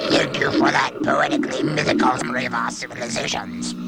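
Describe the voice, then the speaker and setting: Over loud background noise, a man performs a put-on character voice at a very fast pace. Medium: short film.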